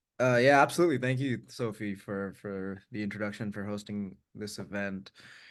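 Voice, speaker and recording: Against a quiet background, a man with an American accent speaks at a fairly quick pace in a fairly low pitch, with ordinary pitch variation and big swings in loudness. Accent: American-sounding from US elementary school. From India, partly raised in US Bay Area. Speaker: tech worker and writer. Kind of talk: webinar interview.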